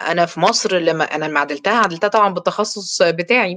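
A woman with an Egyptian accent speaks at a fairly low pitch with ordinary pitch variation against a quiet background. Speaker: dentist and course lecturer; course lecturer. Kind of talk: online lecture. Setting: live stream. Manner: talkative. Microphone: webcam.

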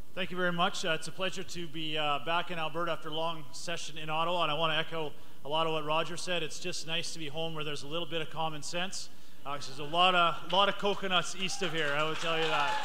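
Over light background noise, a man rattles off words at a very fast pace in a fairly high, monotone, flat voice. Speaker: member of parliament. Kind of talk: welcome speech at a live event. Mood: warm, jovial. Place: hall.

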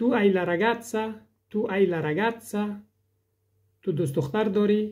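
Very slow delivery with long, frequent pauses, on a very clean recording with a silent background. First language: Dari (speaking Italian). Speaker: language teacher. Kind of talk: tutorial. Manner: slow, repeating each sentence.

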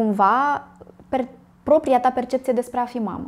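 A woman talks with ordinary pitch variation. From Romania. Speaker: psychologist and podcast host; podcast host. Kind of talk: interview. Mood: warm, empathetic. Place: office. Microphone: lapel.

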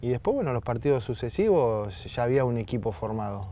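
Light background noise sits behind a man talking at a moderate pace, medium in pitch with ordinary pitch variation. His tone is dark and mellow, and the sound is dry with no echo. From Argentina, Berazategui (Greater Buenos Aires); Argentina. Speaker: retired footballer; TV guest. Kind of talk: casual interview chat. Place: garden. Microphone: lapel.

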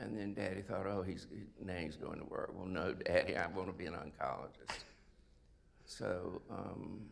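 A man with a South Carolina accent, very deep and low in pitch, with vocal fry, ordinary pitch variation and a fairly slow pace. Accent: Southern US (South Carolina). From US South, South Carolina (Sumter). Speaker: retired oncologist. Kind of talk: interview, life story. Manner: halting, many fillers. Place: stage.

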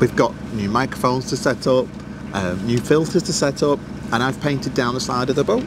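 A man talks at a fairly quick pace in a dry sound with no echo, with noticeable background noise around him. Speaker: vlogger. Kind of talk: casual vlog chat. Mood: cheerful, excited. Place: boat. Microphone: lapel.

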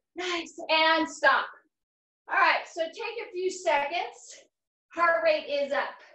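A raised, projected voice with a bright, sharp tone speaks very slowly, using ordinary pitch variation, with audible room echo and a quiet background. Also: woman. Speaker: fitness instructor. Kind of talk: workout instruction. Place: gym. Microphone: camera far.

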